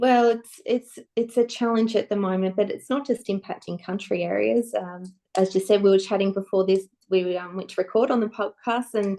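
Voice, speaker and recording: Her tone is dark and mellow. The woman's intonation stays fairly level. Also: medium pitch for a woman, moderate pace. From far western Victoria, Australia (Edenhope, near South Australian border). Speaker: politician. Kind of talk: interview.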